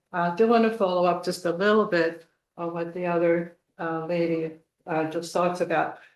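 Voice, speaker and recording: A woman speaks at a moderate pace and medium pitch. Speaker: resident speaking at public comment. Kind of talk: public comment at township meeting. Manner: animated.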